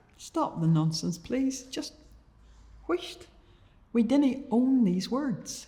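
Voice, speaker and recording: With an Ulster accent, a woman with a high pitch and a dark, mellow tone speaks very slowly, taking long, frequent pauses as her pitch swings very widely. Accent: Ulster-Scots. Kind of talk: poetry reading.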